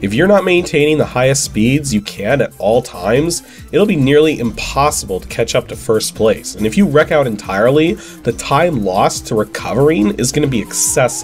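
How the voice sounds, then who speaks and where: A man's fairly high voice at a moderate pace with hardly any pauses and very wide pitch swings, with music in the background. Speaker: game reviewer. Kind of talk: video game review narration.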